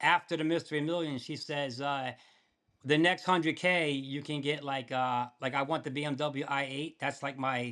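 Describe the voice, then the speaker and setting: In a very clean recording with a silent background, a man speaks at a moderate pace with fairly even intonation, a fairly high pitch, and a bright, sharp tone. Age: 60s. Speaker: poker player. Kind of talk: casual chat. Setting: podcast interview.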